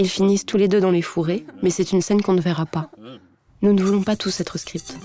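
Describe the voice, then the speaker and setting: Music is audible in the background. Over it, a woman speaks fairly quickly. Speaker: actress. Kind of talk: literary voice-over narration for an animated short film. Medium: animated short film.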